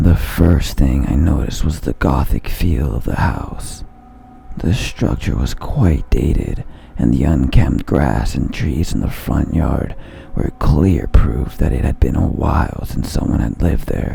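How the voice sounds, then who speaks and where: Over clear background noise, a man does a raspy, put-on character voice at a very deep, low pitch, speaking at a fairly slow pace with ordinary pitch variation. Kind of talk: horror narration. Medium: read story.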